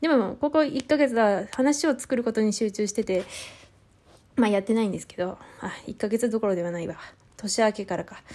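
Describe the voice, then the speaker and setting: Speaking at a fairly quick pace, a woman with a fairly high pitch and a dark, mellow tone uses lively intonation and big swings in loudness on a very clean recording with a silent background. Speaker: podcaster. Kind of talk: reading and replying to listener messages. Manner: nervous, halting with many fillers.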